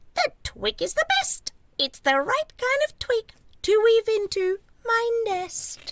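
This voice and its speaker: A woman puts on a squeaky character voice, pitched extremely high with very wide swings, moving at a fairly slow pace. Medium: read story.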